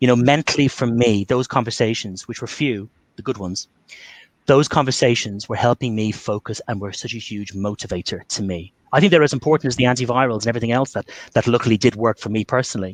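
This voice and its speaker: Very fast and with an Irish accent, a man speaks at medium pitch with ordinary pitch variation, the sound dry and close with no echo over a quiet background. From Ireland. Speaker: Covid survivor and communication trainer. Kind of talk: webinar talk with Q&A.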